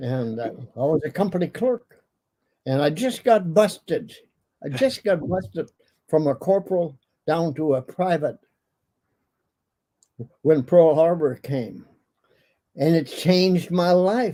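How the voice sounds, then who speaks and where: Speaking with an Upper Midwest accent, the voice has lively intonation, a fairly slow pace, and long, frequent pauses. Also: man, high pitch for a man. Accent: Upper Midwest American. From Minnesota, USA. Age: 80s+. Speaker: war veteran. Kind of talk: interview answer.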